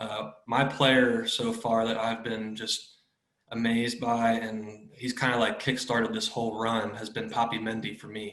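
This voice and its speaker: Spoken at a moderate pace with an American accent, the voice keeps a monotone, flat intonation. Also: man. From Kentucky, US. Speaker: football fan. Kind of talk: casual chat.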